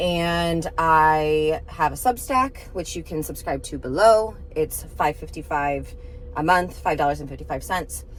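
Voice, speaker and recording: A woman talks with noticeable background noise around her. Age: 30s. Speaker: vlogger and novelist. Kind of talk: casual vlog talk to camera. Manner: chatty, filler-heavy.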